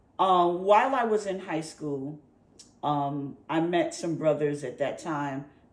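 A woman with an American accent speaks at a very deep, low pitch, fairly slowly, with lively intonation. Long, frequent pauses break her speech, and there is audible room echo. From North Carolina, later New York (Brooklyn). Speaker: fashion designer. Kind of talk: interview, life story. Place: home room.

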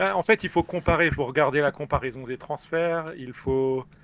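Pitched fairly high, the man speaks with ordinary pitch variation. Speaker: experienced online game player. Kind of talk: casual live stream chat. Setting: live online stream, remote call.

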